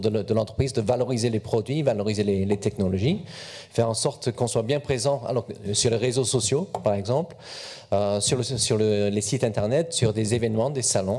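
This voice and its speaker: Medium in pitch and dark, mellow in tone, a man speaks at a moderate pace with a slight English accent, ordinary pitch variation, and very even loudness. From England. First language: English (speaking French). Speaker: corporate communications officer. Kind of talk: panel talk at a youth event. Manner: hesitant, repeats words.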